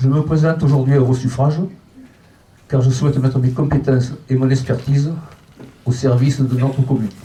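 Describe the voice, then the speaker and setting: A man's medium-pitched voice, monotone and flat, fairly quick between long, frequent pauses, at very even loudness. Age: 70s. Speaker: local election candidate. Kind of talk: public speech.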